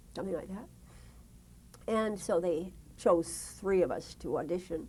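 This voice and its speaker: Woman with an American accent, fairly low pitch, vocal fry and a dark, mellow tone, at a moderate pace with ordinary pitch variation. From US West Coast. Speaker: retired broadcast journalist. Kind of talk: oral history interview. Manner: halting.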